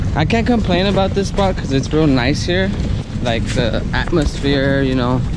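Loud background noise fills the clip. A man speaks over it at a moderate pace. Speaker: fishing vlogger. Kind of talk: casual vlog chat. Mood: relaxed, content. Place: street. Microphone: phone near.

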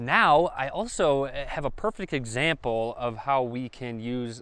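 There is no echo on this man's voice, and the sound is dry. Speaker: tech reviewer. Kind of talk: product demo vlog talk. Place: open country. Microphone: lapel.

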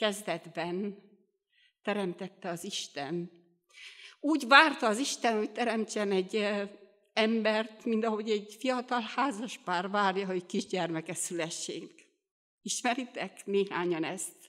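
Against a quiet background, a woman talks at a fairly slow pace with long, frequent pauses and ordinary pitch variation. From Romania, Bihor region (Hungarian minority); Romania. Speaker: lay preacher at a Baptist youth meeting. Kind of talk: sermon. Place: church. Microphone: studio mic.

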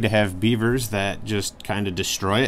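The delivery moves at a moderate pace with fairly even intonation. Light background noise is present. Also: man. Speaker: woodworking channel host. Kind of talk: casual vlog chat. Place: workshop. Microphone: phone near.

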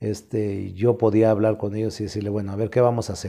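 A man's dark, mellow tone moves at a fairly quick clip in a quiet setting. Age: 60s. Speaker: professional wrestler; interviewee. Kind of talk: interview, casual storytelling. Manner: animated, colloquial. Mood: relaxed, colourful anecdote telling. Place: home room. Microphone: lapel.

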